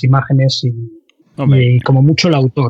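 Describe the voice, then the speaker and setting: At a moderate pace, a man speaks in a somewhat breathy voice of medium pitch with monotone, flat intonation. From Andalusia, Cádiz. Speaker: 3D software trainer and forum administrator. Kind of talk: casual interview chat.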